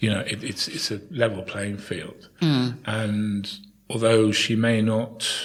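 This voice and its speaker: Amid noticeable background noise, a man with a fairly low pitch talks very slowly with fairly even intonation. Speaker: town crier. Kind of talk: interview answer.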